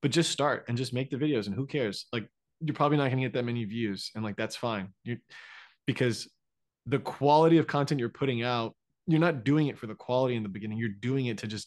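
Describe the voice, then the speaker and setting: The speaker keeps a fairly quick pace with ordinary pitch variation. The background is quiet. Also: man. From Florida, US. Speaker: dentist and content creator. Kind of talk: interview. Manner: hesitant, many fillers.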